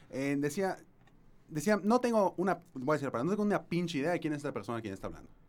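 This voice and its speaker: Speaking at a very fast pace, a man with a fairly high pitch swings it very widely. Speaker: podcast host. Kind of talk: live-streamed casual discussion. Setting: studio. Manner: halting.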